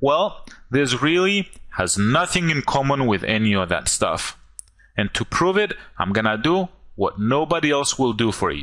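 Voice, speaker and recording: Moderate pace, very wide pitch swings and a non-native accent, on a very clean recording with a silent background. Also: man, fairly high pitch for a man. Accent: goofy accent, non-native. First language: not English. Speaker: online marketer. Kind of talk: sales pitch.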